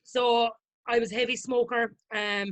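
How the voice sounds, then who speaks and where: A woman speaks with a strong Irish accent. Her intonation stays fairly even. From Ireland, County Limerick. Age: 30s. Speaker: chef and weight-loss author. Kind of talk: casual interview chat.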